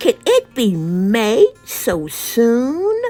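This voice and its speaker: A woman puts on a character voice at a fairly high pitch. Faint music plays in the background. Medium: read story. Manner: sleepy, reluctant.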